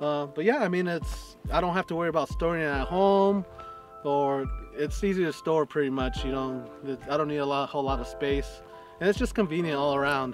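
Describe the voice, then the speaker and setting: A man at a moderate pace, dry sound with no echo, clear music in the background. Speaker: camping vlogger. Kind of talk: casual vlog chat. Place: open country. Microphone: camera far.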